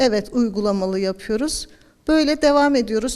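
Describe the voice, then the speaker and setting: A woman's fairly high, ordinarily varied pitch at a fairly slow pace, amid noticeable background noise. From Erzurum, eastern Turkey. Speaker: Quran teacher. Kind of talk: interview.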